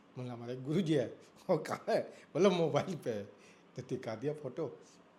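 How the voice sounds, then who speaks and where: Speaking at a moderate pace, a man has a fairly high, somewhat breathy voice. His intonation is lively. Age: 60s. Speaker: elderly devotee and student of scripture. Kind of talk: interview.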